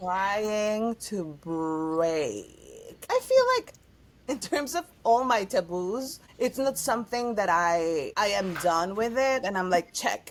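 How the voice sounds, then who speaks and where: A woman with a Spanish accent speaks at a very slow pace, her medium-pitched voice carrying lively intonation. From Mexico City. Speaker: actress and singer. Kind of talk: casual chat.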